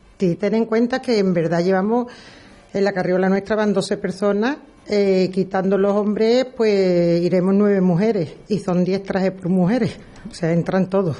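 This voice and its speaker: A woman's normal speaking voice at a medium pitch, fairly slow in pace with fairly even intonation. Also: very even loudness. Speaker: brotherhood worship officer. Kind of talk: radio interview.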